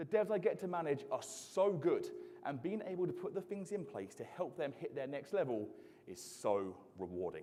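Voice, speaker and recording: There is audible room echo around a man speaking with an English accent. His tone is animated and his pace moderate. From southeast England, Isle of Sheppey. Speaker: software engineering manager and conference speaker. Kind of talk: conference talk. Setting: stage with audience.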